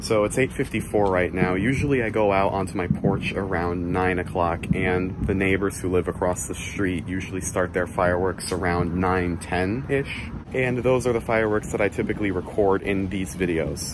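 A man's very deep, low voice, dry with no echo, over noticeable background noise. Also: ordinary pitch variation, moderate pace, hardly any pauses. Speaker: vlogger. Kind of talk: casual vlog chat. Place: garden. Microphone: phone near.

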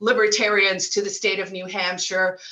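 A woman speaks in a monotone, flat intonation against a quiet background. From South Africa. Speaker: libertarian activist. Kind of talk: casual interview. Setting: video call. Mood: cheerful, animated. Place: home room. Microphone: earbuds.

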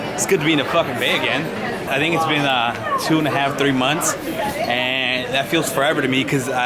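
A man talks at a fairly quick pace. Crowd noise can be heard behind him. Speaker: DJ on tour. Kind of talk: casual vlog chat. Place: station. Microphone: phone near.

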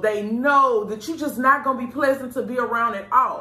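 A woman uses a raised, projected voice at a moderate pace. Room echo is audible. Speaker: show host giving advice. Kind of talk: casual advice talk to camera. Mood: earnest, reflective. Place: studio.

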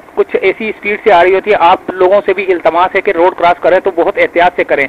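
A man's high-pitched voice at a fairly quick pace, with little pitch movement and a dry, close sound free of echo

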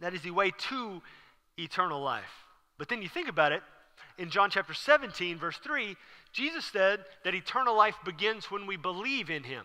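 Against a quiet background, a man projects a raised voice with a bright, sharp tone, speaking at a moderate pace with ordinary pitch variation. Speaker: preacher. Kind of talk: sermon. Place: church. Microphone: headset.

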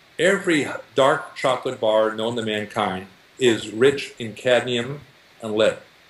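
A man talks fairly slowly at a medium pitch, his unremarkable speaking voice showing ordinary pitch variation. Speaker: nutrition researcher and diet book author. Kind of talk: interview.

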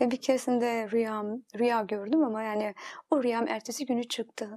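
Against a quiet background, a woman with a fairly high pitch speaks at a moderate pace with fairly even intonation. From Turkey. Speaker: interview guest. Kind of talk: testimony. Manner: halting. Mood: reflective, recalling memories. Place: studio. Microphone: lapel.

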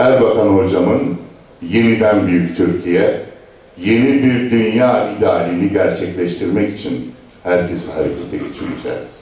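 Strong room echo surrounds a man speaking at a fairly slow pace, his fairly low pitch showing ordinary variation. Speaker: local party chairman. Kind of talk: political speech. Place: hall.

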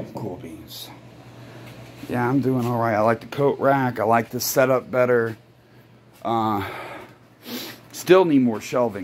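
Noticeable background noise behind a man's medium-pitched voice, with ordinary variation in pitch. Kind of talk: casual vlog talk to camera.

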